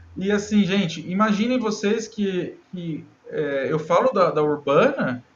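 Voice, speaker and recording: A man's high-pitched voice with lively intonation over noticeable background noise. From Brazil, Minas Gerais. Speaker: cartographic engineer in municipal government. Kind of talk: casual interview.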